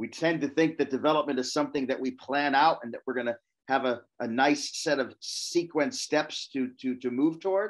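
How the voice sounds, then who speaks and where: An unremarkable speaking voice moves at a moderate pace with fairly even intonation and hardly any pauses over a quiet background. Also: man, fairly high pitch for a man. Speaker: professor. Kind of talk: lecture.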